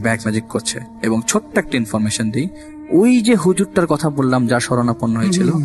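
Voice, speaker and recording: Music plays in the background as a man talks. His medium pitch swings very widely. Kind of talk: storytelling guest in radio interview.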